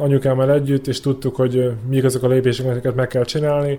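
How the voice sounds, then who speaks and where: Man's medium-pitched voice, dark and mellow, in a flat monotone at a fairly quick pace. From Vojvodina, Serbia (Subotica). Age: 20s. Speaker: Olympic rower. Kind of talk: interview. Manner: halting.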